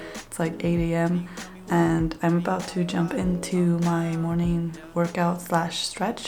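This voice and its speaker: A quiet woman's voice, fairly low in pitch and fairly slow, with audible room echo and noticeable background noise. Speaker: lifestyle vlogger. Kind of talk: casual vlog talk. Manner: speaking quietly.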